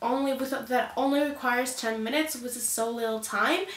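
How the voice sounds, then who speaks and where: A woman is speaking. There is audible room echo. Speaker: beauty youtuber. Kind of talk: makeup tutorial. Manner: animated.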